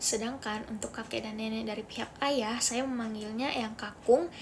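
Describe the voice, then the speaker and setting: A woman with a Makassar accent at a fairly high pitch and moderate pace, with fairly even intonation over noticeable background noise. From Makassar, South Sulawesi, Indonesia. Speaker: university student. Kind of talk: class assignment presentation.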